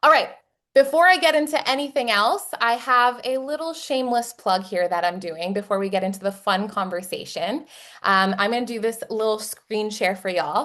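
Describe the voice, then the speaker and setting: A fairly high-pitched woman with a Texas accent, a fairly quick pace, lively intonation and an animated, upbeat tone. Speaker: webinar host and company marketer. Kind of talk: live webinar hosting, casual; company promo pitch. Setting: online webinar video call.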